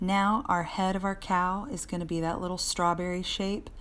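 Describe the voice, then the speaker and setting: Audible room echo accompanies speech at a fairly slow pace. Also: woman. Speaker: art teacher. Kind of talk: live drawing tutorial. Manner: loud.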